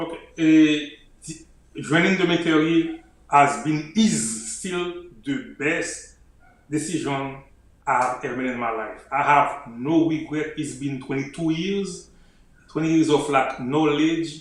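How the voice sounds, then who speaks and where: With audible room echo around him, a man in a Haitian accent speaks at a fairly slow pace, his fairly high pitch showing ordinary variation. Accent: Haitian Creole-accented English. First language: Haitian Creole. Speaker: army officer and author. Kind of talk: interview.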